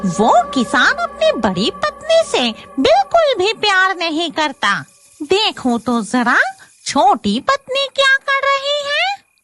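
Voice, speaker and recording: A cartoonish, female-sounding character voice, extremely high and full of very wide pitch swings, at a fairly slow pace over music in the background. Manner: cackling, gloating.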